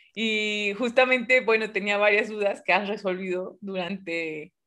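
In a bright, sharp tone, a woman speaks at a moderate pace with ordinary pitch variation over a quiet background. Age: 20s. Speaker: physics student and science communicator. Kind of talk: casual chat.

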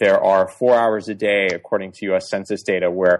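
A man with an American accent talks at a fairly quick pace. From US Northeast, suburban Boston. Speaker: tech startup co-founder. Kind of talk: interview.

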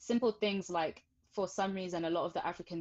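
A woman with a British accent. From England. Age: 20s. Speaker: educator. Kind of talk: interview. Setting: video call.

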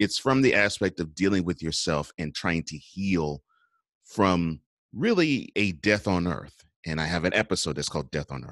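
A man with an American accent and a very deep, low pitch at a moderate pace, dry and close with no echo over a quiet background. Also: ordinary pitch variation. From Houston, Texas. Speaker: podcast host. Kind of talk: interview. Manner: halting.

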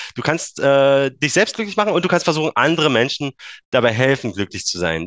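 Moving at a fairly quick pace, a man's voice takes very wide pitch swings in a dry, close sound with no echo. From eastern Germany, Brandenburg. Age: 30s. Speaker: engineer and Bitcoin enthusiast. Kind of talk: casual interview.

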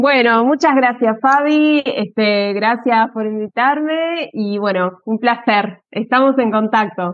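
A woman speaks at a very slow pace with hardly any pauses. Her voice sits fairly high, with ordinary pitch variation. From Argentina, Avellaneda (Buenos Aires area). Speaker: Spanish teacher and legal translator. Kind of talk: interview explaining history. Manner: hesitant, many fillers.

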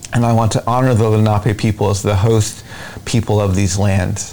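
A man's monotone, flat delivery comes through noticeable background noise. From Navajo Nation, Gallup area, New Mexico. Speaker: presidential candidate and Navajo activist. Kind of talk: interview.

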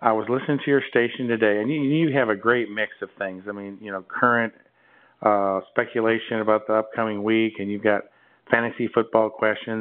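Fairly even intonation at a moderate pace, with a Midwestern American accent. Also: man. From near Chicago, US Midwest. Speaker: interviewer.

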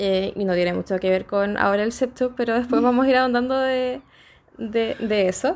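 Here is a woman with an unremarkable speaking voice. She has a fairly high pitch and a moderate pace. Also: ordinary pitch variation, very even loudness. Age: 20s. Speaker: sex shop owner. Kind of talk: casual chat. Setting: at a friend's home.

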